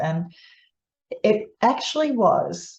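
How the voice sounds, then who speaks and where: Dark, mellow tone and a somewhat breathy quality in a woman's voice. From Netherlands. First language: Dutch. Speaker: psychologist. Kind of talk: informal explainer to camera. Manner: conversational, with many fillers and restarts.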